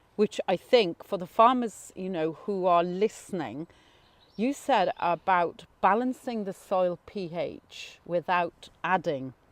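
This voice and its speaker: Against a quiet background, a woman speaks at a very slow pace, the sound dry and close with no echo. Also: medium pitch for a woman, ordinary pitch variation. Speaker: podcast host. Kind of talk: interview question.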